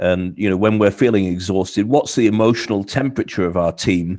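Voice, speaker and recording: A man with a British accent speaks at a fairly quick pace, with ordinary pitch variation. The background is quiet. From UK. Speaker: cultural training consultant. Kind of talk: interview answers.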